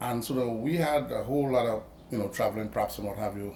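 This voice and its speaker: A man with a Grenadian accent speaks at a fairly quick pace. Audible room echo is present. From Grenada, Saint Andrew. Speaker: community activist and TV producer. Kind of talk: interview. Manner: halting, many fillers.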